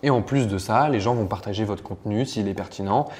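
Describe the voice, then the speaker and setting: With noticeable background noise behind him, a man speaks at a medium pitch and a fairly quick pace. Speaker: online marketing trainer. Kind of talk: tutorial. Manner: fast.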